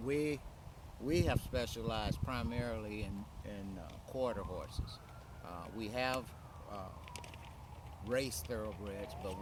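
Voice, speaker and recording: A man talks at a fairly slow pace with long, frequent pauses, ordinary pitch variation and big swings in loudness, recorded with audible room echo and noticeable background noise. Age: 70s. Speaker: retired horse breeder. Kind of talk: interview.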